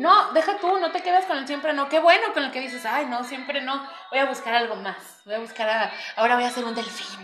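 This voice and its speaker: A woman speaks at a fairly quick pace with a high pitch and lively intonation. Noticeable background noise and audible room echo surround her voice. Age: 20s. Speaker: psychologist and market vendor. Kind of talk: casual chat.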